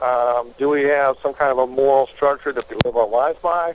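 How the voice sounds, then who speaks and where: A man's ordinary speaking voice, fairly high in pitch, at a moderate pace with fairly even intonation. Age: 50s. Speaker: congressional candidate. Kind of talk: interview.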